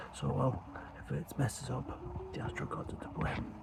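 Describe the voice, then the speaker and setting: Whispering at a fairly quick pace, a man with a British accent comes through over noticeable background noise. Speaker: amateur astrophotographer, channel host. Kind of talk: casual vlog narration. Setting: outdoors.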